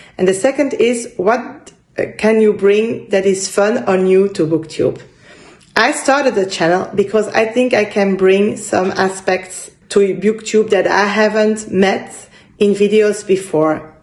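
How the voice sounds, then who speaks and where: Over noticeable background noise, a woman speaks at a fairly slow pace and medium pitch, with ordinary pitch variation and very even loudness. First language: French. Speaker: book vlogger. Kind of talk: casual vlog monologue. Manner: halting, searching for words.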